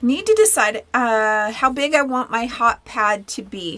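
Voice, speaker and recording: Her voice sits high, with a bright, sharp tone. The woman shows ordinary pitch variation. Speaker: sewing instructor. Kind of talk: tutorial. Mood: warm, chatty. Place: workshop.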